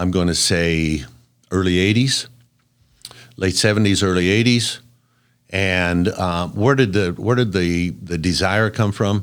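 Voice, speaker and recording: Very deep, low male voice at a fairly slow pace, with long, frequent pauses, ordinary pitch variation and a very clean recording over a silent background. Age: 70s. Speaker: construction company founder. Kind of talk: interview. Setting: podcast.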